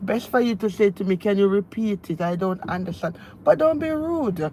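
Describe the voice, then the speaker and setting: A woman with a Jamaican accent speaks at a moderate pace in a medium, somewhat breathy voice with lively intonation. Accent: Jamaican, still speaks a lot of patois. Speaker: lifestyle vlogger. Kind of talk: casual live-stream chat. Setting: in a car, driving. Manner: animated.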